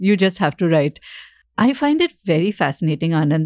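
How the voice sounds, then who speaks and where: A woman with an Indian accent and fairly low pitch at a fairly quick pace, on a very clean recording with a silent background and a dry, close sound with no echo. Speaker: podcast host and author. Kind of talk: casual interview.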